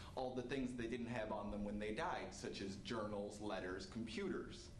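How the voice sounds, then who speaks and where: A man with an American accent talks at a moderate pace. Audible room echo and light background noise are present. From upstate New York. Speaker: army veteran. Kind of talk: stage storytelling performance. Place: stage.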